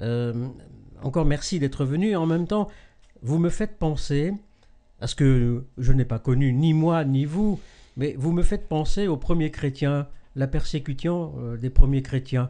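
With long, frequent pauses, a man speaks slowly in a dark, mellow tone at a fairly high pitch. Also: ordinary pitch variation, quiet background. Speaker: web TV host. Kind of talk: live interview. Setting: live web broadcast. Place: home room.

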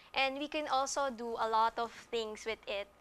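A woman with a bright, sharp tone talks at a moderate pace, her pitch varying in an ordinary way. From Philippines. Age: young. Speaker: social entrepreneur. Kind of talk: TV interview. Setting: studio. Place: studio. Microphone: lapel.

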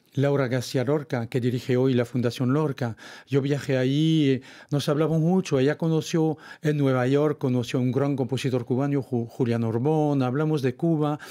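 A man with a French accent speaks in a dark, mellow tone at a moderate pace. His intonation is fairly even and his loudness very even, against a quiet background. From France, Brittany. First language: French (speaking Spanish). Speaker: author; guest. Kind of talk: interview. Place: studio. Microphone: studio mic.

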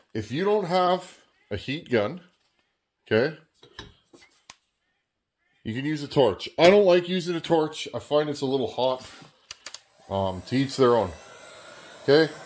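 With lively intonation and a fairly high pitch, a man speaks at a fairly slow pace, leaving long, frequent pauses.

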